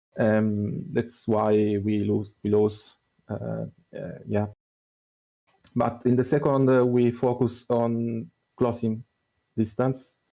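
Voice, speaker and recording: A man with a non-native accent speaks at a very slow pace in a medium-pitched, dark, mellow voice, his fairly even intonation broken by long, frequent pauses. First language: not English. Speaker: esports team player. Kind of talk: post-match interview. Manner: halting.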